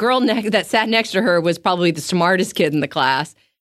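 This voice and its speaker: Ordinary pitch variation from a plain, everyday voice, very clean recording, silent background. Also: woman. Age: 50s. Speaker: speech and language pathologist. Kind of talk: interview.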